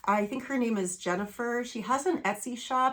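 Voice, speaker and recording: Here a woman talks at a moderate pace. Her pitch is high, with ordinary variation. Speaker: cross-stitch video creator. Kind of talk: casual chat. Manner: hesitant, many fillers.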